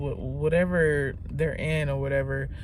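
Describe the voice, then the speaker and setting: A woman is talking. The room gives her voice an audible echo. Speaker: vlogger. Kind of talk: casual vlog monologue. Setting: in a car. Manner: halting, self-correcting.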